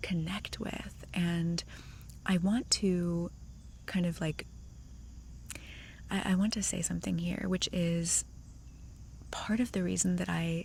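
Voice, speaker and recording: A soft-spoken, somewhat breathy voice at a fairly slow pace, with fairly even intonation. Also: woman. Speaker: ASMR creator. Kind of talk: ASMR Q&A chat. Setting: outdoors.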